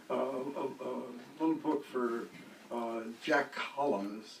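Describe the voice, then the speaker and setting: A medium-pitched male voice amid noticeable background noise and audible room echo. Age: 80s+. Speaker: poet. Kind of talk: casual chat; poetry reading. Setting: bookstore reading with audience. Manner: halting.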